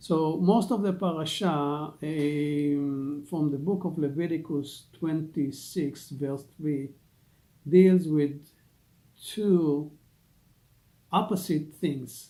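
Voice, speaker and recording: A man's dark, mellow voice with an Israeli accent, fairly high in pitch and very slow, with fairly even intonation and long, frequent pauses. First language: Hebrew. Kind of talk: religious teaching talk. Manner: halting, many fillers.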